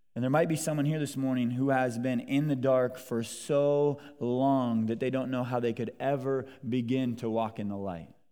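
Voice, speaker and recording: Audible room echo surrounds a man speaking at a medium pitch and a moderate pace with fairly even intonation. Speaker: visiting pastor. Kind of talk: sermon. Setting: church. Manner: many filler words.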